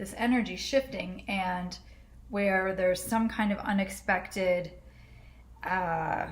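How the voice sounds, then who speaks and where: Speaking very slowly with long, frequent pauses, a woman keeps a medium pitch and fairly even intonation amid audible room echo. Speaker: astrologer. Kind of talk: astrology forecast monologue. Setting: home, in a dark apartment. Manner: casual, conversational with fillers.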